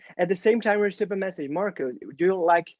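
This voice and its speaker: A man's high-pitched voice in a Portuguese accent, with ordinary pitch variation. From Brazil. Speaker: UX designer and mentor. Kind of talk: Q&A at online meetup. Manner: halting, many fillers.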